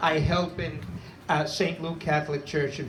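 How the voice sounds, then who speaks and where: A fairly high-pitched man with a Brooklyn accent at a fairly slow pace, amid noticeable background noise and audible room echo. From Brooklyn, New York. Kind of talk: speech at interfaith vigil.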